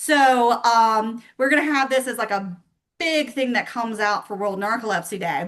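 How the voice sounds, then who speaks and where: A woman talks at a moderate pace in a fairly high pitch, with an animated tone. Her pitch varies in an ordinary way against a quiet background. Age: 40s. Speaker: support group organizer. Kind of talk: casual chat.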